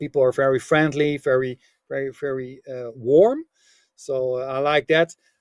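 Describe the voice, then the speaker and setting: The speaker has a Dutch accent and fairly even intonation, talking at a moderate pace with big swings in loudness in a dry, close sound with no echo. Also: man, medium pitch for a man. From Netherlands. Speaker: business author and coach. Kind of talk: podcast interview. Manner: halting, many fillers.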